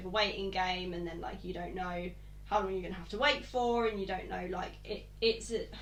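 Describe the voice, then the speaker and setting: A woman talks fairly quickly, with audible room echo and noticeable background noise around her. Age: 20s. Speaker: podcast host. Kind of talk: casual chat.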